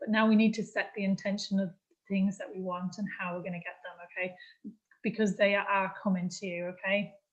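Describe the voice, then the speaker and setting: A somewhat breathy woman speaks fairly quickly at a medium pitch, her intonation monotone and flat while her loudness swings widely. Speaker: astrology and spiritual workshop leader. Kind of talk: spiritual workshop talk.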